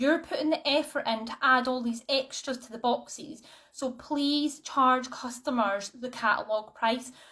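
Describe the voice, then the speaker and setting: A woman speaks in a raised, projected voice at a high pitch, with a bright, sharp tone and fairly even intonation. She keeps a moderate pace with hardly any pauses, and her loudness swings widely. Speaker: direct sales team leader. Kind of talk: online training talk. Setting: live stream. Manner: casual, many fillers.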